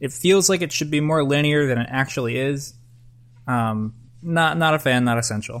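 Talking at a moderate pace, a man has a fairly high pitch, ordinary pitch variation, and an unremarkable speaking voice. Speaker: podcast co-host. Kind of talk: casual chat.

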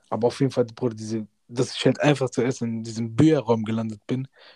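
Dark and mellow in tone, a man's medium-pitched voice moves at a fairly quick pace in a flat monotone. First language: Punjabi (speaking German). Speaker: podcast host, university student. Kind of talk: casual chat.

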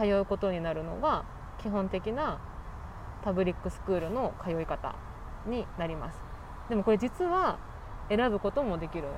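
A woman's voice with very wide pitch swings at a moderate pace. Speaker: podcast host. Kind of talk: casual chat. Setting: outdoors.

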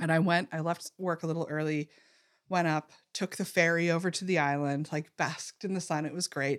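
Quickly paced with fairly even intonation, a woman speaks in a normal speaking voice at a fairly low pitch. The recording is very clean, with a silent background and dry, close sound lacking echo. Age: 40s. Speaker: podcast co-host. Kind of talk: casual chat.

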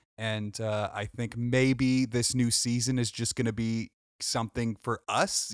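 A man speaks at a moderate pace and a medium pitch, his intonation monotone and flat, the sound dry and close with no echo on a very clean recording with a silent background. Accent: American. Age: 20s. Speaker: podcast co-host. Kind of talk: casual chat; announcement to listeners.

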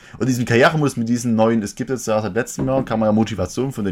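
Very fast speech from a man with a medium-pitched voice. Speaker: podcast and stream host. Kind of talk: casual chat. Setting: live Twitch stream.

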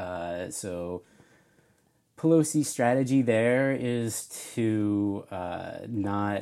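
A soft-spoken man with an American accent has a dark, mellow tone and lively intonation. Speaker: friend of the host. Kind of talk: casual chat.

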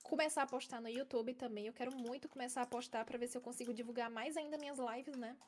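Very fast pace with hardly any pauses and fairly even intonation. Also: woman, high pitch for a woman. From Ceará, Brazil (Fortaleza). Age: 20s. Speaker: Minecraft streamer. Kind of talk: casual chat. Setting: live stream podcast.

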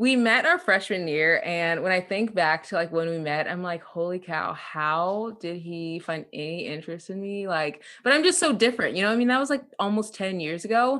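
With an American accent, a woman speaks at medium pitch in a bright, sharp tone, her intonation lively and with hardly any pauses. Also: moderate pace, quiet background. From central Illinois. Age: 20s. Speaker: influencer. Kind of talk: interview. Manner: animated.

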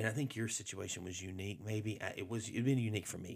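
With a Southern US accent, the words come out at a fairly quick pace. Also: man. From Alabama. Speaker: pastor. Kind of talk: casual chat.

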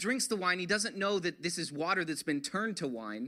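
This man's voice is raised and projected, with a bright, sharp tone. The intonation moves in a lively way. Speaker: pastor. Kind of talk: sermon.

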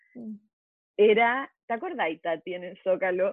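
A woman talks at a very slow pace. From Chile. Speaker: advertising executive and activist. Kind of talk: casual chat.

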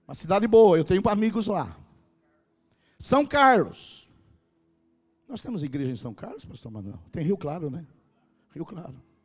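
A man's high-pitched voice at a moderate pace, with very wide pitch swings, big swings in loudness and long, frequent pauses. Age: 60s. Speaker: pastor. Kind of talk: sermon. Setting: church stage with audience. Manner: animated.

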